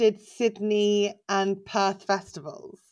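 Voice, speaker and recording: This very clean recording, with a silent background, captures a woman with an English accent. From England. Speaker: stand-up comedian. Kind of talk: casual chat.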